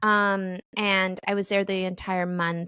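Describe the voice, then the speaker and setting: Speaking at a very slow pace with fairly even intonation, a woman has a bright, sharp tone, recorded dry and close with no echo on a very clean recording with a silent background. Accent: Midwestern. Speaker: comedian and podcast host. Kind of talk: casual chat.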